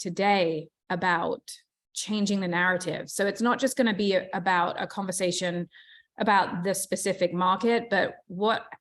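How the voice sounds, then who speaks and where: Against a quiet background, a woman with a medium-pitched voice talks at a moderate pace with fairly even intonation. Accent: British. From England. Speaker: real estate agent and team leader. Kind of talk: motivational talk.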